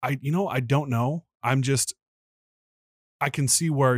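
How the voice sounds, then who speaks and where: A somewhat breathy man's voice at medium pitch with lively intonation, dry and close with no echo, in a very clean recording with a silent background. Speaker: podcast co-host. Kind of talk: casual chat.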